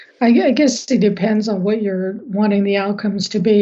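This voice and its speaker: Against a quiet background, a woman talks fairly slowly at a medium pitch, her dark, mellow tone monotone and flat. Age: 50s. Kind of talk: podcast interview.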